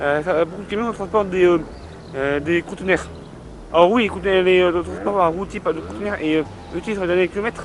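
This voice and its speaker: Noticeable background noise surrounds a man talking at a fairly quick pace with long, frequent pauses. His pitch is high, with ordinary variation. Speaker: video blogger. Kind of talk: casual monologue. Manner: hesitant, many fillers.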